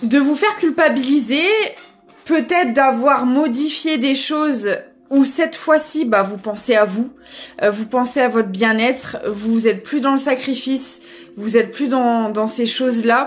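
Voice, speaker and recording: Through noticeable background noise, a woman talks loudly at a high pitch and a fairly slow pace. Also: ordinary pitch variation. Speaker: tarot reader. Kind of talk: spiritual guidance reading.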